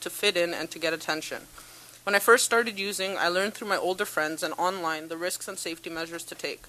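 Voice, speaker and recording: Talking very fast over noticeable background noise, a woman with a Canadian accent keeps a medium pitch and fairly even intonation. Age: 20s. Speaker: peer worker. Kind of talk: prepared testimony. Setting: parliamentary committee hearing. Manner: formal.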